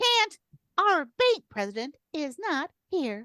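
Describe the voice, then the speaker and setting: This put-on character voice is squeaky and swings very widely in pitch. It moves at a very slow pace, with a dry, close sound and no echo. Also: woman, extremely high pitch for a woman. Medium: audio drama. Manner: deadpan, blunt.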